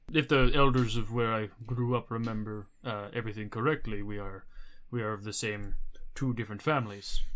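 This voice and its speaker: A man puts on a character voice at a medium pitch. He moves at a fairly quick pace. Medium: actual play. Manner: halting, hesitant.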